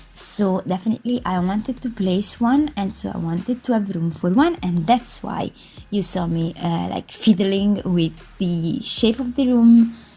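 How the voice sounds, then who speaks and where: This woman's voice is somewhat breathy, with a dark, mellow tone at a medium pitch. She speaks at a fairly slow pace with ordinary pitch variation. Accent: Italian. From Italy. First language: Italian. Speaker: gaming YouTuber. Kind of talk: voice-over commentary on a game build. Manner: hesitant, filler-heavy.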